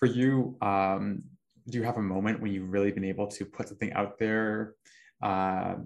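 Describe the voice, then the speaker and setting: This man has an unremarkable speaking voice, fairly low in pitch, with fairly even intonation and a moderate pace against a quiet background. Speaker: podcast host. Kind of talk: casual interview conversation.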